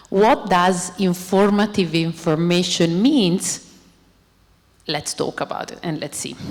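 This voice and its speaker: With an Italian accent, a woman speaks at a fairly slow pace with ordinary pitch variation, big swings in loudness, and long, frequent pauses. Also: medium pitch for a woman. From Italy. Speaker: robotics researcher. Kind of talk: lecture. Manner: animated.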